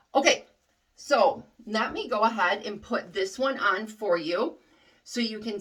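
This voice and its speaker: A loud woman with lively intonation. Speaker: wig reviewer. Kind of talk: product review tutorial. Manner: casual, hesitant with fillers.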